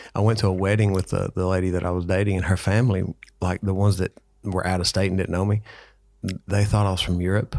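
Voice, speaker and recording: A man with a Southern US accent speaks at a very fast pace in a very deep, low pitch with monotone, flat intonation. The recording is very clean, with a silent background. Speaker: fitness podcast co-host. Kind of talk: casual chat.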